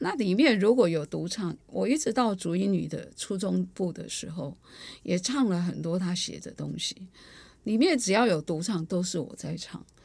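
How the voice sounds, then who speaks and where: A woman talks with lively intonation and vocal fry at a medium pitch. The recording is very clean with a silent background. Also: moderate pace. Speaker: choir artistic director and music teacher. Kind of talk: interview storytelling. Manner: talkative, long-winded.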